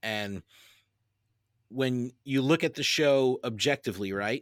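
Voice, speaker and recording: On a very clean recording with a silent background and a dry, close sound with no echo, a man with an American accent speaks at a medium pitch with ordinary pitch variation. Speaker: podcaster. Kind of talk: casual chat. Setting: studio. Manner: halting.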